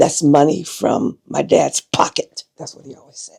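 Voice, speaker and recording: A woman speaks with an American accent. Her voice carries vocal fry. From southern Illinois (Cairo). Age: 70s. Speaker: retired educator. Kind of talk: oral history interview.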